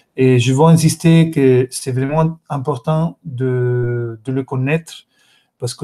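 A man with an Italian accent speaks in a dark, mellow tone. His pace is very slow. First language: Italian (speaking French). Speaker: course host, moderator. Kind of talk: live-streamed course moderation. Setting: video conference livestream. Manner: halting, many hesitations. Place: home room. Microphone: webcam.

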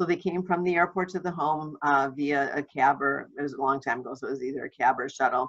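In a quiet background, a woman talks at a fairly quick pace with a bright, sharp tone. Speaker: home watch trainer. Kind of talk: webinar presentation. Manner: casual, chatty. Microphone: webcam.

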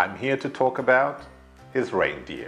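A man talks with a British accent. Faint music plays in the background. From United Kingdom. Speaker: English teacher. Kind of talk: ESL lesson to camera. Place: studio. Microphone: lapel.

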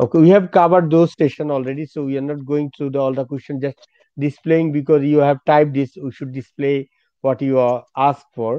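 In a Bangladeshi accent, a man talks at a fairly quick pace with fairly even intonation, the sound dry with no echo against a quiet background. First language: Bengali. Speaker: education consultancy director; host director of counselling event. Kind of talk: live webinar Q&A. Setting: video call. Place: office. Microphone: video call.

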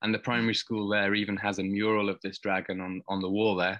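Against a quiet background, a man speaks at a moderate pace. His fairly low voice has monotone, flat intonation. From Wales. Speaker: anthropology lecturer. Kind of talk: casual chat. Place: home room. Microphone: webcam.

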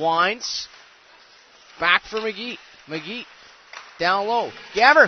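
This man's voice sits high for a male and sounds animated, with ordinary pitch variation. Noticeable background noise runs under it. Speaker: hockey play-by-play commentator. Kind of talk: live sports commentary. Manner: excitable, animated on saves and goals.

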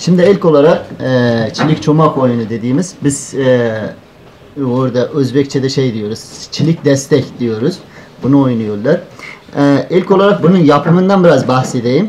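A man speaks with an Uzbek accent at a fairly high pitch and a fairly slow pace. His intonation is lively, with light background noise. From northern Afghanistan (Uzbek community). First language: Uzbek (speaking Turkish). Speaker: student presenter; presenter. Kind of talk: conference paper presentation. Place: hall. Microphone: handheld.

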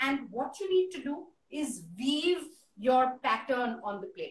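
A woman with a high voice talks at a fairly slow pace, with audible room echo and light background noise in the recording. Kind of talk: tutorial. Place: home room. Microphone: phone near.

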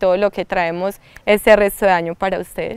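A woman with a slight paisa accent speaks at a moderate pace, her dry sound carrying no echo against a quiet background. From Colombia, rural La Ceja, Antioquia; Antioquia, Colombia. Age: young. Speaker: artist and cultural promoter. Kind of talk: interview. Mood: warm, cheerful. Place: garden. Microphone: lapel.

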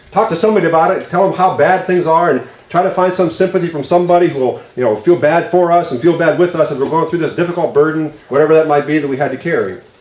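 A man at a high pitch and a very fast pace, with audible room echo. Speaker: pastor. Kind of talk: sermon. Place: church. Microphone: podium.

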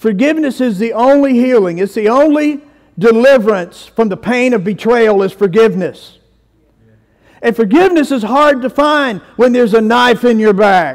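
In a Southern US accent, a man talks with an extremely high pitch and ordinary pitch variation. His pace is moderate against a quiet background. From US South. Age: 50s. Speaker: pastor. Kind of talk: sermon. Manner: animated. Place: church.

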